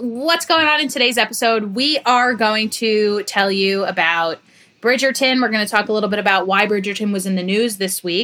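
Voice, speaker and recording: With an American accent, a woman speaks at a moderate pace in a fairly high, bright, sharp voice with ordinary pitch variation and very even loudness, on a very clean recording with a silent background. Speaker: podcast co-host.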